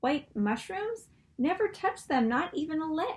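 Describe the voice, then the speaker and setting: Put-on character voice from a woman, pitched extremely high, delivered fairly slowly. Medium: read story. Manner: calm, measured.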